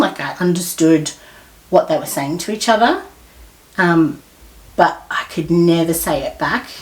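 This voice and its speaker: A woman talks at a moderate pace in an Australian accent. Her voice is somewhat breathy, with lively intonation. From Australia, Melbourne. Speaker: podcast guest. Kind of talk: casual chat.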